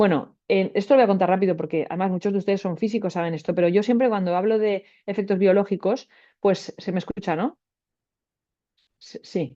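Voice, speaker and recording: Speaking at a fairly quick pace, a woman uses a medium pitch with ordinary pitch variation. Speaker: radiobiologist. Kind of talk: webinar lecture. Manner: fast; hesitant fillers.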